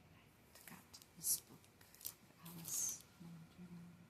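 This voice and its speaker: Whispering, a woman speaks at a fairly slow pace. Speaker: ASMR creator. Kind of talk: casual talk to camera. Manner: soft-spoken.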